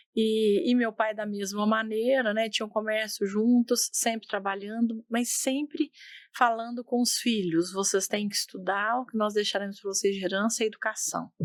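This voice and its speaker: A woman with a fairly high pitch talks at a moderate pace, her intonation fairly even. She barely pauses, and the recording is very clean with a silent background. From Brazil, southern Minas Gerais. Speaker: company executive. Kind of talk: interview.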